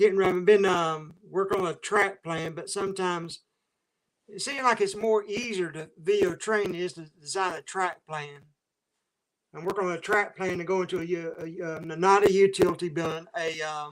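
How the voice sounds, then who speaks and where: Speaking in a Southern US accent, a man with a high-pitched voice keeps his intonation fairly even while his loudness swings widely. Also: moderate pace. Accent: Southern US (Georgia). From US South, Waycross, Georgia area. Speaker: train spotting YouTuber. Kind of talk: casual livestream chat. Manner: halting.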